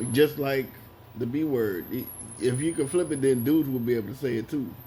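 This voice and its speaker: A man's somewhat breathy, dark, mellow tone at medium pitch, with ordinary pitch variation and a moderate pace. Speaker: commentator. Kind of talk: commentary monologue. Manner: quiet, not talkative.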